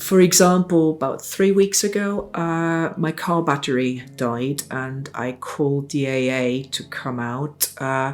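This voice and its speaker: With a German accent, a woman speaks at a very slow pace in a very deep, low pitch, with ordinary pitch variation and hardly any pauses. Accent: German-speaking foreign. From South Tyrol, northern Italy (German-speaking). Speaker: essay contributor recounting migration. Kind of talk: personal testimony. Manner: halting, many fillers and self-corrections.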